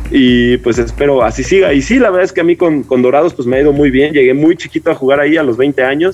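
A man with a fairly high pitch talks very fast, with hardly any pauses and ordinary pitch variation. His loudness is very even, and background noise is noticeable. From Mexico, Atizapán, State of Mexico. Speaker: professional basketball player. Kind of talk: interview.

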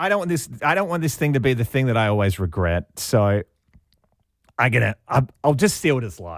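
This man speaks at a fairly quick pace with very wide pitch swings, in a very clean recording over a silent background. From Australia, Sydney. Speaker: radio host. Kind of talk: interview.

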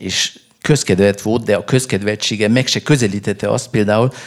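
Pitch moves in an ordinary way. The delivery is fairly slow. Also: man. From Hungary, Budapest. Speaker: novelist. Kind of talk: interview at a book festival. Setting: stage with audience. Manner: halting, many fillers and repetitions.

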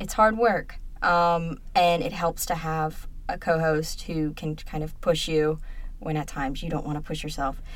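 At a fairly slow pace, a woman speaks in a normal speaking voice with fairly low pitch and fairly even intonation. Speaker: student podcast co-host. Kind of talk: casual chat.

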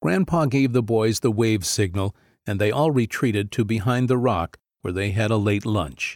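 In a very clean recording with a silent background, a man with an ordinary speaking voice talks at medium pitch and a moderate pace. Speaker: audiobook narrator. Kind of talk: literary audiobook reading, scripted narration. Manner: steady, storytelling pace with gentle warmth.

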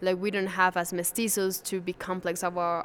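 A woman's voice in a Spanish accent, monotone and flat in intonation. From Venezuela. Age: 20s. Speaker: museum guide. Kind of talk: interview.

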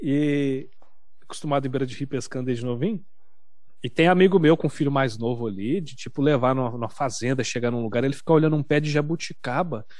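A man with a fairly high pitch rattles along at a very fast pace, with ordinary pitch variation. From Minas Gerais, Brazil (Uberaba). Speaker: gaming streamer. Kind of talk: casual chat.

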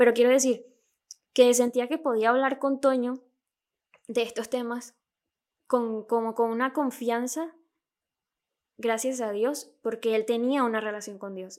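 With a Venezuelan accent, a high-pitched woman speaks at a fairly slow pace with fairly even intonation and long, frequent pauses. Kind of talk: casual chat. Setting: remote recording.

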